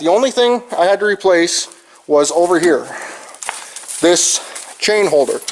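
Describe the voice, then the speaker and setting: Over noticeable background noise, a man with an American accent speaks at a high pitch with ordinary pitch variation. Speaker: farmer. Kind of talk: tutorial. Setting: farm shed.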